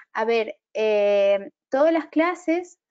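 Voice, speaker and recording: A woman speaks with lively intonation and a dark, mellow tone. The background is quiet. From Argentina. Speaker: webinar moderator. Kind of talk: live Q&A moderation. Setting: live video stream. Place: home room. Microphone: earbuds.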